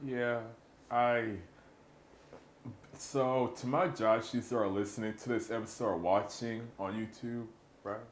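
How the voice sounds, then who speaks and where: Audible room echo surrounds a man's medium-pitched voice. He speaks at a fairly slow pace. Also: ordinary pitch variation. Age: 20s. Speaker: podcast host. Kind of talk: casual chat. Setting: studio. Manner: halting.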